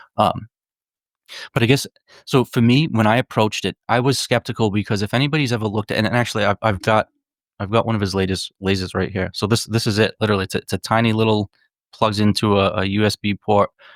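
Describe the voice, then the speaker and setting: Talking at a very fast pace with fairly even intonation, a man with a Northeastern US accent is heard in a very clean recording with a silent background and a dry, close sound with no echo. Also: fairly low pitch for a man. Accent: Northeast US. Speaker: psychedelics advocate and author. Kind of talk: casual podcast conversation. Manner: halting, many repetitions.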